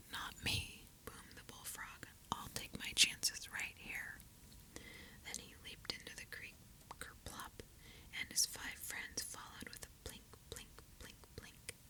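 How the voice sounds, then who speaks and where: Whispering in a gentle tone with long, frequent pauses, the voice comes through over noticeable background noise. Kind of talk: bedtime story reading, ASMR. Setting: binaural recording, listen with headphones. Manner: whispered; whispering, gentle.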